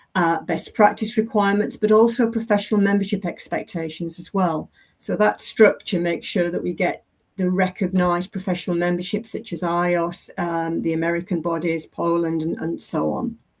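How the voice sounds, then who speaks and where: This woman's voice sits fairly low, with ordinary pitch variation. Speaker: safety education presenter. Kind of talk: presentation. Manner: fast.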